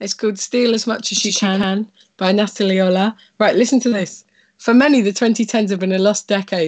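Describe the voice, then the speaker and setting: Against a quiet background, a woman talks at a fairly quick pace. Her intonation stays fairly even. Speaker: comedian and co-host. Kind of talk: casual chat. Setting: video call. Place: home room. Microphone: earbuds.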